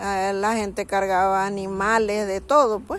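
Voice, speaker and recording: A woman with a Chiriquí Panamanian accent, at a fairly slow pace, in a monotone, flat intonation. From Panama, Chiriquí (Bugaba). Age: 60s. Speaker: interviewee recalling childhood. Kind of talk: personal testimony. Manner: conversational, with hesitations.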